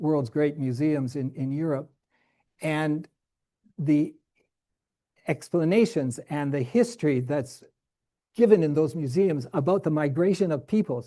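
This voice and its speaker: Against a quiet background, a man speaks at a fairly high pitch in a dark, mellow tone. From Canada, Saskatchewan. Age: 70s. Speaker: professor. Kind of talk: lecture. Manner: halting.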